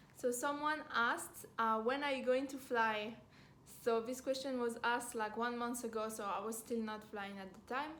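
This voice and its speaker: A woman with a French accent speaks at a high pitch and moderate pace with fairly even intonation, and the room echo is audible. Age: 20s. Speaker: flight attendant and vlogger. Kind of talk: casual Q&A vlog. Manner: hesitant, many fillers.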